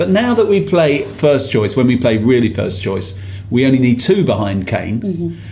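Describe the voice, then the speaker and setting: A man at a medium pitch talks at a moderate pace, his pitch swinging very widely. There is noticeable background noise and audible room echo. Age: 50s. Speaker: football podcast host. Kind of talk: casual chat.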